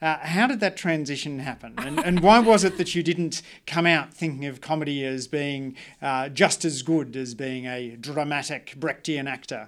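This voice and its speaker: On a very clean recording with a silent background, a man with an Australian accent speaks at a moderate pace, his fairly high pitch showing ordinary variation. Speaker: podcast host. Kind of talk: interview conversation. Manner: halting with many uh fillers.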